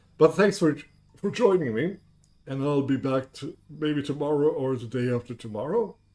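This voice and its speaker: Music plays in the background. A man with a fairly high pitch speaks with lively intonation. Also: moderate pace. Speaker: video game streamer. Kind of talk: gaming livestream. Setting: live stream.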